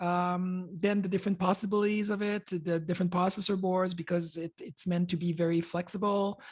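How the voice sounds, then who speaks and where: A woman's somewhat breathy, medium-pitched voice with a French Canadian accent, fairly even in intonation, at a fairly quick pace with hardly any pauses. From Quebec, Canada. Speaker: computer hardware designer. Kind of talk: conference presentation. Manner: halting, many fillers.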